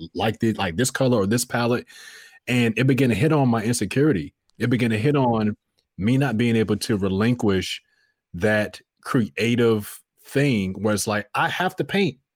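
The pace is moderate, with ordinary pitch variation. The recording is very clean, and the background is silent. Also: man. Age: 30s. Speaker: voice artist. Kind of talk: casual chat.

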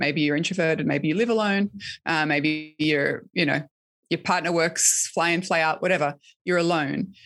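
Someone with an Australian accent speaks at a moderate pace with very even loudness in a very clean recording with a silent background. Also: woman, fairly low pitch for a woman, fairly even intonation. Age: 30s. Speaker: author and podcast host. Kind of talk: interview conversation.

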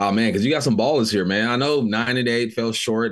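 Heard against a quiet background, a man has an ordinary speaking voice with an American accent. His pitch is medium, with ordinary pitch variation. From Los Angeles area, California. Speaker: former NFL wide receiver, radio host. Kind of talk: casual sports chat. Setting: studio.

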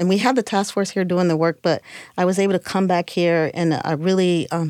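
The recording is very clean, with a silent background. A woman with an Ohio accent speaks in a fairly low voice. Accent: Midwestern American (Ohio). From Cleveland, Ohio. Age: 50s. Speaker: LGBT community center executive director. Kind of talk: casual interview conversation.

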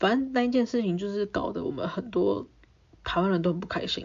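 Words tumble out at a very fast pace from a woman. Her pitch varies in an ordinary way. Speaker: podcast host. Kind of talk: casual solo storytelling.

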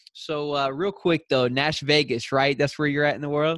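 Delivered in a Southern US accent, the speech moves along at a moderate pace. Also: man. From US South. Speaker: podcast host. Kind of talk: casual interview; prayer. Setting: call.

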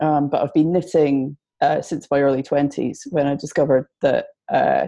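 At a moderate pace, a woman speaks with a Scottish accent. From Scotland, Edinburgh. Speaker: knitwear designer. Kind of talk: interview. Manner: hesitant, many fillers.

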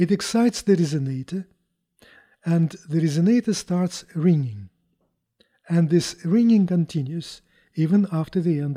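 A man's high voice with lively intonation at a moderate pace, dry and close with no echo, on a very clean recording with a silent background. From Russia, Moscow. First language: Russian. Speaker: chief scientist, physicist. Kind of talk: interview, technical explanation. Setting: on site at a company.

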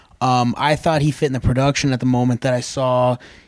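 A man talks at a very fast pace in a monotone, flat delivery, recorded very cleanly against a silent background. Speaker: wrestling podcast co-host. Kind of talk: casual podcast discussion.

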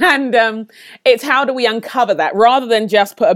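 A woman with a London accent speaks at a moderate pace in a very clean recording with a silent background. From London, England (Nigerian parents). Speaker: leadership trainer and author. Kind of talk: interview.

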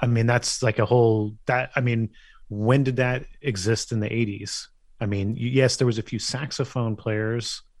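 The speaker has a Californian accent and monotone, flat intonation, moving at a moderate pace over a quiet background. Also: man, medium pitch for a man. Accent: Californian American. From US West Coast, San Francisco Bay Area. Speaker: music journalist and author. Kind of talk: casual interview.

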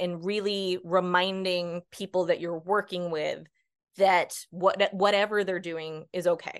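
Against a quiet background, a woman speaks with an American accent in a medium pitch. Her pace is fairly slow and her intonation is flat and monotone. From US Northeast. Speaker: ADHD coach. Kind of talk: casual interview.

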